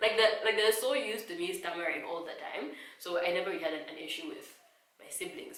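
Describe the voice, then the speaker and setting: A woman talks at a very fast pace, with audible echo from the room. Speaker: vlogger. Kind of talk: personal vlog talk. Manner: stutter.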